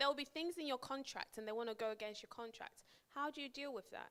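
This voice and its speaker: A woman speaks with a northern English accent. Her intonation is lively. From northern England (Preston). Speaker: project manager giving a career talk. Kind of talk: workshop talk to an audience. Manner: conversational, with frequent repetitions and fillers.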